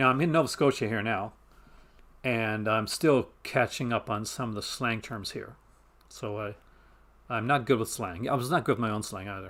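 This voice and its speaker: On a very clean recording with a silent background, a man of medium pitch speaks at a moderate pace with ordinary pitch variation and long, frequent pauses. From Canada, Maritime provinces. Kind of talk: casual, conversational.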